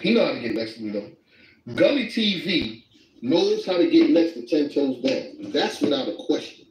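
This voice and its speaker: There is light background noise and audible room echo as a man talks at a moderate pace. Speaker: livestreamer. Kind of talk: casual chat. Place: home room. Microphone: phone near.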